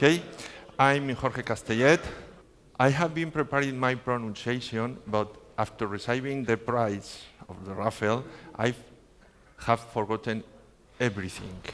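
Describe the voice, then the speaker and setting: A man with a Spanish accent speaks at a moderate pace in a medium pitch with ordinary pitch variation. His pauses are long and frequent. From Spain. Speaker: network trainer. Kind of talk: conference talk. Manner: halting, with filler sounds.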